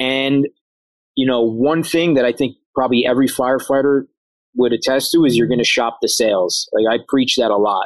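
At a fairly quick pace and very even loudness, a man with a New York accent speaks in a medium pitch, the sound dry and close with no echo. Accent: New York area American. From Harrison, New York (US). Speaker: firefighter and chef. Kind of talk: interview, casual chat. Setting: outdoors in backyard.

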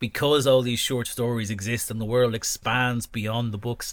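A man with an unremarkable speaking voice talks at a medium pitch and a moderate pace, his intonation fairly even. The recording is very clean, with a silent background. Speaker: author and podcast host. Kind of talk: casual chat. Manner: chatty, jokey, rambling.

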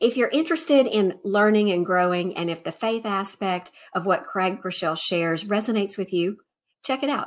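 An ordinary speaking voice with an American accent, lively intonation and a fairly quick pace, on a very clean recording with a silent background. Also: woman, medium pitch for a woman. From Alabama, US South (Montgomery). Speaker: podcast host. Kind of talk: video monologue recommending contacts. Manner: upbeat, casual.

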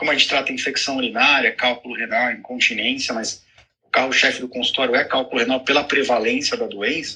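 Talking at a fairly quick pace, a man makes big swings in loudness. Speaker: urologist. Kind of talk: live video chat.

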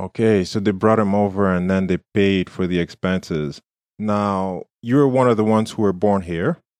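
This man has an ordinary speaking voice, fairly low in pitch with ordinary pitch variation, talking at a moderate pace in a dry, close sound with no echo. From war-torn country outside Canada. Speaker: podcast co-host. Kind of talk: interview.

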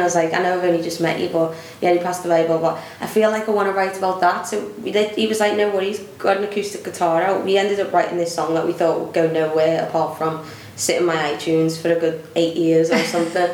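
A woman with a Liverpool accent, a fairly low, animated voice with ordinary pitch variation, at a very fast pace amid noticeable background noise. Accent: Scouse. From Liverpool, England. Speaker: singer-songwriter and footballer. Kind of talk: interview. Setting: festival venue.

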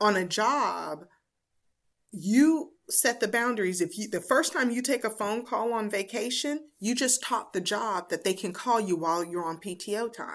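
A woman with a normal speaking voice and a fairly high pitch talks at a moderate pace with lively intonation. The recording is very clean, with a silent background. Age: 50s. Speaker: business life coach. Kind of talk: casual interview.

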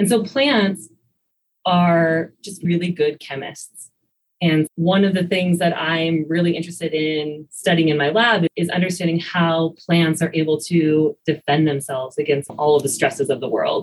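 A woman with an American accent speaks in a plain, everyday voice. Her pitch is fairly low, with ordinary pitch variation and a moderate pace. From rural US, farm. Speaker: biology professor. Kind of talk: interview.

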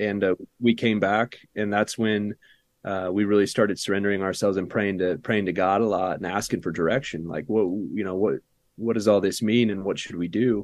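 Fairly low in pitch, a man with an American accent talks at a fairly quick pace with fairly even intonation. He has a plain, everyday voice, set against a quiet background. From US suburbia. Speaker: organic farmer. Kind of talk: casual interview. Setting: remote video call.

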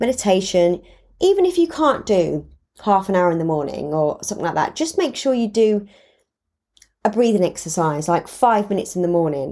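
Her voice has a dark, mellow tone at a medium pitch, and the woman talks at a fairly quick pace with lively intonation on a very clean recording with a silent background. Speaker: podcast host sharing personal mental health journey. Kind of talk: casual monologue. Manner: fast; bubbly, chatty.

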